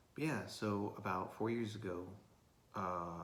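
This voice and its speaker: A man with an American accent talks at a moderate pace, and some room echo can be heard. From Florida, US South. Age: 20s. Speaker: vlogger. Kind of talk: casual video diary monologue. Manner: halting, many fillers.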